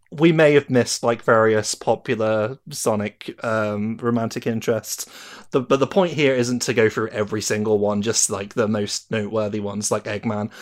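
This man speaks with a British accent at medium pitch. His pace is moderate and his intonation fairly even. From Britain. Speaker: podcast host. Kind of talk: casual chat.

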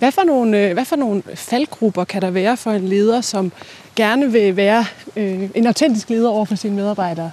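This is a woman with a normal speaking voice at a medium pitch. She keeps a moderate pace and ordinary pitch variation. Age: 30s. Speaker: journalist interviewing the host. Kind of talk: interview. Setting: outdoors, walking.

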